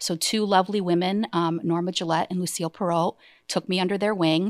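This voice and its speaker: An ordinary speaking voice with an American accent and fairly even intonation moves at a fairly quick pace, recorded very clean, with a silent background and a dry, close sound with no echo. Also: woman. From Massachusetts, US. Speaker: insurance agency owner. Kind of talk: interview. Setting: studio.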